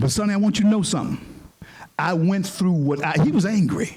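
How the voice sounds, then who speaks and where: Audible room echo surrounds a man speaking in an animated tone with an American accent. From US South, Shreveport, Louisiana. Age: 60s. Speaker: panel moderator and speaker. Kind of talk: storytelling speech to an audience. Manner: animated, repeats words.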